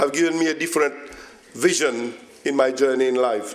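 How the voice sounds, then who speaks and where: A man talks over noticeable background noise. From Mauritius. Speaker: politician. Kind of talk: formal speech.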